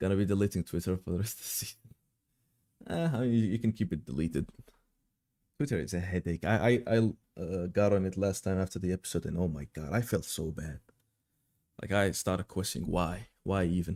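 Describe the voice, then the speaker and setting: A man with a very deep, low voice and a dark, mellow tone talks at a fairly quick pace with ordinary pitch variation. He takes long, frequent pauses, and the recording is very clean with a silent background. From Mauritania. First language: French and Arabic. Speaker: anime streamer. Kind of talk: live stream Q&A chat. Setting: live stream. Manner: casual, repetitive.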